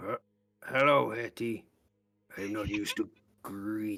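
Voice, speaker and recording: A put-on character voice from a man, pitched fairly low and delivered at a moderate pace. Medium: actual play. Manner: curt broken common speech.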